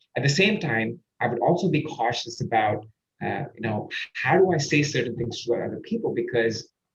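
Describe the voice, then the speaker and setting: Speaking at a moderate pace, a man uses lively intonation. His pitch is fairly high and his voice somewhat breathy. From India. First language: Indian language. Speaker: podcast host and performance coach. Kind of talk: interview conversation. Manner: halting, searching for words.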